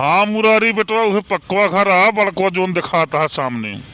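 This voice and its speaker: A cartoonish character voice at middle pitch and moderate pace, with a dry, close sound and no echo. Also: ordinary pitch variation. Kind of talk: cartoon comic acting.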